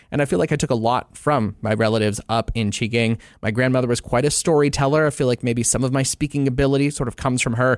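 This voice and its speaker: A man speaks very fast at a medium pitch, with a Canadian accent. The recording is very clean, with a silent background. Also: fairly even intonation, hardly any pauses, very even loudness. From Ontario, Canada. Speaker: news anchor. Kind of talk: recorded anniversary greeting, personal story.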